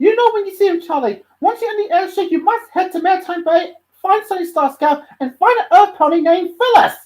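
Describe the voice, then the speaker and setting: Squeaky and extremely high, a put-on character voice rattles along at a fairly quick pace. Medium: read story.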